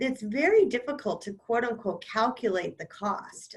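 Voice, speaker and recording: This woman has an ordinary speaking voice, with ordinary pitch variation and a moderate pace. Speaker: cybersecurity panelist. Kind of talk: webinar presentation. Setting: online webinar.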